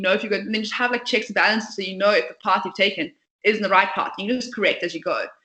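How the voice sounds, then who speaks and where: Speaking very fast, a woman uses a fairly high pitch with ordinary pitch variation. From South Africa, Port Elizabeth. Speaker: startup founder and CEO. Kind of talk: interview. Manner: talkative, passionate.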